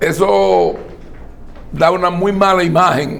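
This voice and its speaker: A man speaks with a high pitch. Audible room echo surrounds his voice. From Dominican Republic. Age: 60s. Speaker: political commentator. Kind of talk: interview. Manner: formal.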